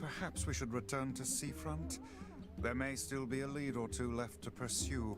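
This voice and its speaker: With music playing in the background, the voice moves at a moderate pace and its pitch swings very widely. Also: man, medium pitch for a man. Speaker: video game character. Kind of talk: formal, old-fashioned. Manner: formal, disapproving.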